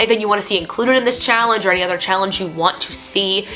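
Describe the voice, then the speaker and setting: A woman talks at a medium pitch with ordinary pitch variation. There is noticeable background noise. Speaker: music teacher and online English teacher. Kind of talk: casual vlog talk to camera. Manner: chatty, talkative.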